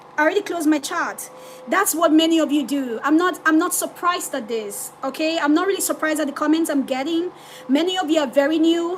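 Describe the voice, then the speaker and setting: A woman at an extremely high pitch with ordinary pitch variation and a fairly quick pace, amid noticeable background noise. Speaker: forex trader streaming live. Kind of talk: live trading stream, reading chat. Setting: livestream. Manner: loud; animated.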